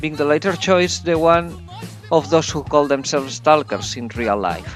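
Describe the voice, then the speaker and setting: Music plays in the background as a man speaks with a non-native accent. His fairly high voice has lively intonation at a moderate pace. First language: not English. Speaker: video game reviewer. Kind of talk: video game review narration.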